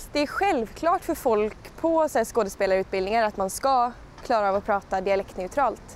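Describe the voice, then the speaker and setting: A woman's fairly high voice moves with lively intonation while noticeable background noise carries on around her. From Skåne, southern Sweden. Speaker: musical theatre performer. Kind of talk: interview answer. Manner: casual, conversational.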